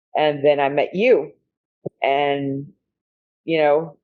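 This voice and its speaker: A woman with a Southern US accent speaks in a very deep, low voice. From US South. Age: 40s. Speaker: police officer. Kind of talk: casual chat.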